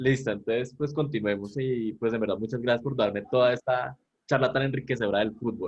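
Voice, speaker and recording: His intonation stays fairly even at a medium pitch. The man talks at a fairly quick pace. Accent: Colombian. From Colombia. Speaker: communication student interviewer. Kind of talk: interview.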